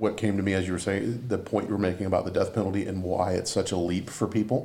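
In a Southern US accent, a man talks very fast in a fairly low, dark, mellow voice with monotone, flat intonation, and audible room echo surrounds him. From Colleton County, South Carolina. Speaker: executive producer and journalist. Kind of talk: casual recap discussion.

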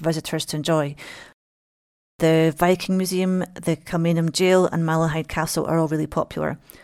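A woman with a Scottish accent, fairly low in pitch, monotone and flat, at a fairly quick pace, on a very clean recording with a silent background. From Scotland. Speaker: local guide, writer. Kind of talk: travel monologue.

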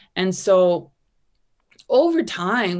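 A woman is talking here. Her pace is very slow. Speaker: author and business brand strategist. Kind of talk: casual interview chat. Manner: animated, humorous.

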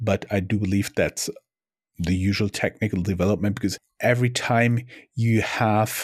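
Speaking with a German accent, a man delivers his words in a fairly low pitch, at a fairly slow pace, with monotone, flat intonation in a dry, close sound with no echo. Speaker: podcast co-host, entrepreneur. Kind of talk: casual chat.

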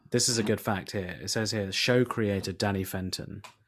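A fairly quick-paced man with a British accent and a fairly low pitch. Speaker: comedian. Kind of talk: casual chat.

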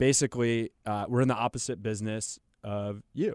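In an American accent, a man uses a normal speaking voice at medium pitch with ordinary pitch variation and a fairly slow pace, in a dry, close sound with no echo on a very clean recording with a silent background. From Charlotte, North Carolina. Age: 30s. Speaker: real estate investor. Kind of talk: interview. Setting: studio.

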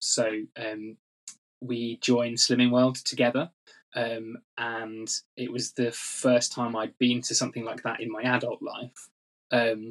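Speaking at a fairly slow pace, a man uses a medium pitch and a monotone, flat intonation. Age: 30s. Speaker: weight loss story guest. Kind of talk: interview conversation. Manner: hesitant, many fillers and repeats.

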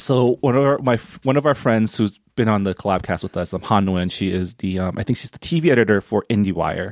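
Using an unremarkable speaking voice, a man with fairly low pitch and lively intonation talks with hardly any pauses in a dry, close sound with no echo. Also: fairly quick pace. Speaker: nonprofit director and podcaster. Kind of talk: casual chat.

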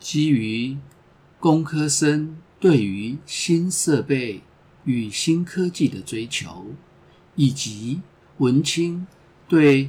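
A fairly high-pitched man speaks somewhat breathily with lively intonation. His pace is very slow, with long, frequent pauses. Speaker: podcast host. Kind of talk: scripted narration.

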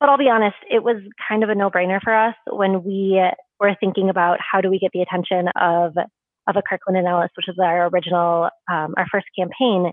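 Speaking in a plain, everyday voice, a woman with an American accent keeps a fairly quick pace. Her pitch is medium and her intonation fairly even. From Minnesota, US (St. Paul). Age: 20s. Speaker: law graduate and activist. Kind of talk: interview.

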